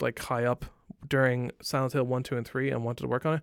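With an Irish accent, a man talks at a medium pitch on a very clean recording with a silent background and a dry, close sound with no echo. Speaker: gaming podcast co-host. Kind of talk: casual chat.

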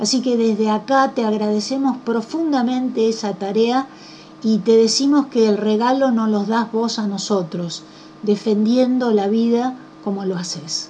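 The speech moves at a fairly slow pace with ordinary pitch variation. Background noise is noticeable. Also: woman, fairly high pitch for a woman. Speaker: radio host. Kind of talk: radio interview.

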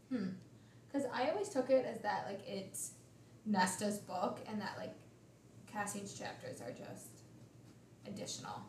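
Amid audible room echo and noticeable background noise, a woman talks at a moderate pace with long, frequent pauses. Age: 20s. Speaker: podcast co-host. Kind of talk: casual chat.

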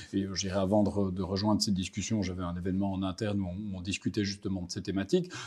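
A man speaks very fast in a fairly low, dark and mellow voice with a slight Belgian accent. His intonation stays monotone and flat. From Belgium, Brussels. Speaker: market strategist. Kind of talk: interview. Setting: office in Paris. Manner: hesitant, repeats words.

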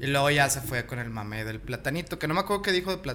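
Speaking at a fairly quick pace, a man uses an unremarkable speaking voice at medium pitch with lively intonation. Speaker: podcast co-host. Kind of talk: casual chat.

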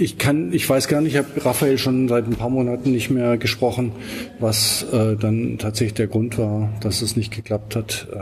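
With noticeable background noise, a man at medium pitch talks at a moderate pace with fairly even intonation. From Swabia, southern Germany. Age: 50s. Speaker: documentary filmmaker. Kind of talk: interview.

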